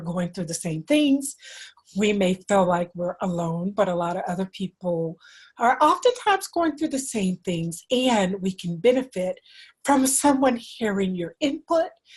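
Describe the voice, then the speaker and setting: A woman speaks at a fairly slow pace with medium pitch. Her intonation is lively and her voice somewhat breathy. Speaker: dentist and podcast host. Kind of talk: solo talk show monologue.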